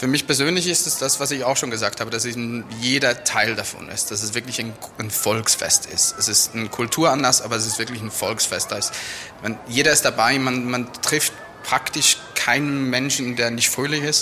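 Fairly even intonation and a moderate pace from a man at medium pitch, amid noticeable background noise. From Switzerland, near Lucerne. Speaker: tourism manager and carnival participant. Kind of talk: interview.

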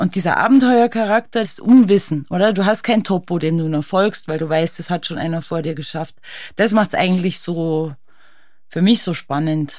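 On a very clean recording against a silent background, an ordinary speaking voice carries ordinary pitch variation. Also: woman, fairly low pitch for a woman, moderate pace. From Austria. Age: 40s. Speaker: ice climbing champion and alpinist. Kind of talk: casual interview. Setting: studio.

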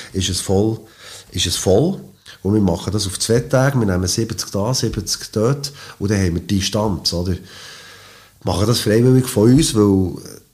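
A man talks at a moderate pace, with long, frequent pauses and ordinary pitch variation. His fairly low voice is somewhat breathy. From Switzerland, Biel. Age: 50s. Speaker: boogie-woogie pianist. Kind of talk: interview.

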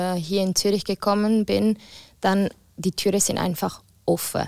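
At a fairly slow pace, a woman with a medium pitch speaks in a flat monotone, taking long, frequent pauses, her loudness very even on a very clean recording with a silent background. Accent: Italian. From Ticino, Switzerland. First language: Italian (speaking German). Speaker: singer. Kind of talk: casual chat.

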